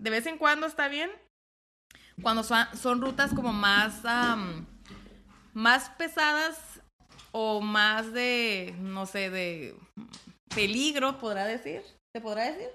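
A woman with a fairly high pitch and a bright, sharp tone uses lively intonation at a very slow pace, pausing long and often. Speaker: host's wife, off-road enthusiast. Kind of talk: casual chat. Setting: studio, seated next to host. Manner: stammering when nervous.

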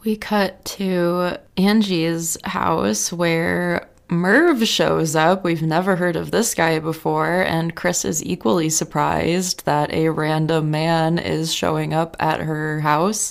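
With an American accent, a woman talks at a very slow pace with hardly any pauses, her fairly low pitch showing ordinary variation. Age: 20s. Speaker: TV recap podcast host. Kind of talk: casual solo recap.

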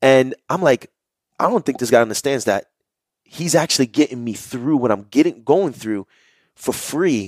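With a New York accent, a man talks at a moderate pace and medium pitch, his intonation lively. The recording is very clean and silent behind him, dry and close with no echo. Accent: New York area urban. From New Jersey, Jersey City. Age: 20s. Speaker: holistic health coach. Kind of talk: interview, telling life story.

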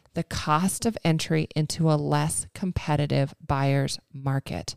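A woman with a very deep, low pitch, in a dry, close sound with no echo and a very clean recording with a silent background. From Montana. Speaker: mortgage lender and coach. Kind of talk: casual chat. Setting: in her living room.

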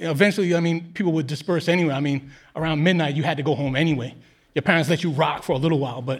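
Amid audible room echo, a man with a New York accent and a fairly high pitch talks at a very fast pace. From Queens, New York City. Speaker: podcast co-host. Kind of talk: storytelling on stage. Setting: stage with audience.

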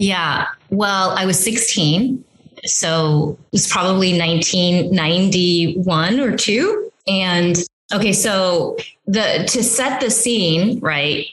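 Very slow and even in loudness, a woman speaks at a medium pitch with ordinary pitch variation. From San Francisco Bay Area. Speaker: journalist. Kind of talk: interview.

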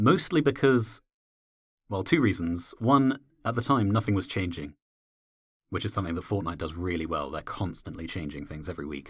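A man's very deep, low voice, somewhat breathy, with lively intonation, a fairly quick pace and long, frequent pauses, on a very clean recording with a silent background. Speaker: games guides writer. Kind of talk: casual chat.

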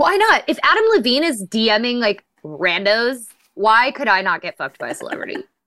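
This woman talks at a moderate pace in a high voice, her pitch swinging very widely. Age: 30s. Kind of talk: casual chat.

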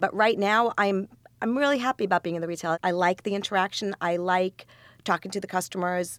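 On a very clean recording with a silent background, a woman uses a normal speaking voice at medium pitch and a fairly quick pace, with ordinary pitch variation. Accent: American. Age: 40s. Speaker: grocery business owner. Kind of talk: interview.

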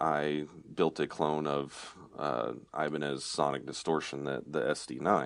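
Speaking at a fairly slow pace against a quiet background, a man uses a very deep, low pitch with vocal fry. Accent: American. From Oklahoma. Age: 30s. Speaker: guitar effects parts company owner. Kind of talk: casual interview chat. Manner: halting, many repeated words.

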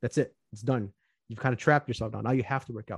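Somewhat breathy male voice at medium pitch, in a dry, close sound with no echo. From US Midwest, Chicago southwest suburbs. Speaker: financial planner. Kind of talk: casual interview.

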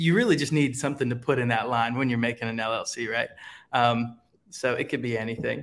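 With an American accent and an ordinary speaking voice, a man talks at a fairly quick pace, his pitch medium and its variation ordinary. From Ohio, US Midwest. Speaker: creative agency founder. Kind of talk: casual chat.

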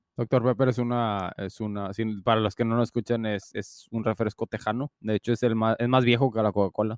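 Against a quiet background, a man speaks fairly quickly in a monotone, flat delivery. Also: medium pitch for a man, dry, close sound with no echo. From Mexico. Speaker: podcast co-host. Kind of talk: casual chat.

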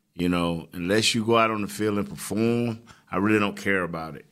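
In a bright, sharp tone, a man with an American accent is heard in a very clean recording with a silent background. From Florida. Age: 50s. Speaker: former football player and show co-host. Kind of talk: casual sports talk. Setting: studio. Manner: animated.

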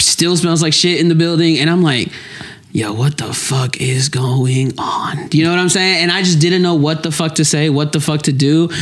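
Noticeable background noise behind a man's high voice, its pitch varying in an ordinary way. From Lexington, Kentucky. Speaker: comedian. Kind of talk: casual chat.

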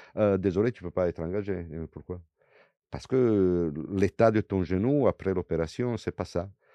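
Speaking at a moderate pace, a man with an Italian accent has a very deep, low pitch and ordinary pitch variation. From Italy. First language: Italian (speaking French). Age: 60s. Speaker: former legionnaire. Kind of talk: interview testimony. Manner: halting with repetitions.

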